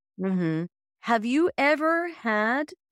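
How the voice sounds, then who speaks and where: A woman's fairly high voice with very wide pitch swings, recorded very cleanly against a silent background, dry and close with no echo. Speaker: podcast host. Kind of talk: podcast interview.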